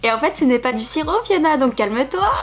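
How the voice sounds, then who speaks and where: Noticeable background noise sits behind a woman's voice. She speaks at a fairly quick pace with ordinary pitch variation. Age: 20s. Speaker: YouTuber. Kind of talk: casual vlog chat. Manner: casual, hesitant with fillers.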